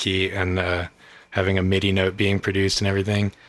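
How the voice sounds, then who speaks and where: Fairly low in pitch, a man talks at a very fast pace. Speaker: music producer. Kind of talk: casual chat. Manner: rambling, filler-heavy.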